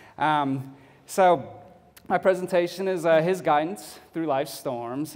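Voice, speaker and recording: A man talks at a fairly slow pace with a slight Texas accent. His pitch variation is ordinary. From Texas (Fort Bend County, near Houston). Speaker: photographer, public speaker. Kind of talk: speech to a club audience. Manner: many filler words, halting.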